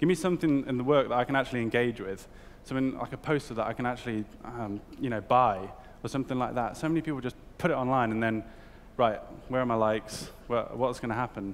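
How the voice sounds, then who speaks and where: A man with a British accent talks at a very fast pace in a medium pitch with ordinary pitch variation. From UK. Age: 20s. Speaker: art director. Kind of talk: talk to an audience. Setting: stage with audience. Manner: hesitant, filler-heavy. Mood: casual, humorous. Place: hall.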